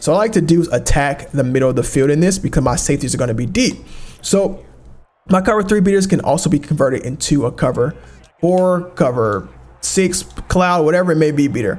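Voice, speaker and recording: Music plays behind a man whose fairly high voice moves at a fairly quick pace, with lively intonation and very even loudness. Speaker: video game tutorial creator. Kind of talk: gameplay tutorial commentary. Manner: fast; casual, with fillers.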